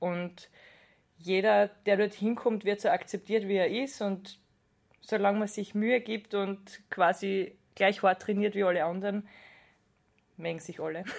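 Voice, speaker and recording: At a fairly slow pace, a woman speaks with medium pitch and long, frequent pauses. Her intonation is fairly even. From Austria, Styria (Judenburg). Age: 20s. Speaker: wrestler and pharmaceutical scientist. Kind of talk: interview.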